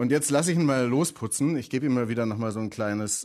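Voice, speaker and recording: In a very clean recording with a silent background, a man talks at a fairly quick pace. His pitch varies in an ordinary way. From southern Germany. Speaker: tech columnist. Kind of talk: casual tech chat. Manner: enthusiastic.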